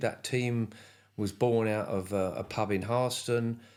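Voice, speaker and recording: With a southern English accent, a man talks at a medium pitch and ordinary pitch variation. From England, Cambridgeshire. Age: 70s. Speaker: retired motorcycle racer. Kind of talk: casual interview.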